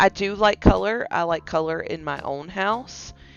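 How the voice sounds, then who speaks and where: With music in the background, the voice moves at a fairly slow pace. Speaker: gaming YouTuber. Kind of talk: gameplay commentary. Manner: casual, some stammering.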